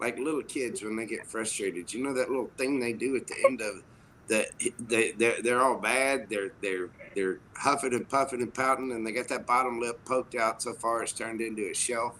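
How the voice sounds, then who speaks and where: Speaking at a fairly quick pace, a man with an American accent keeps a medium pitch. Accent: slight Southern accent, mostly suppressed. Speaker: former radio broadcaster. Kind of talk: casual chat. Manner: animated.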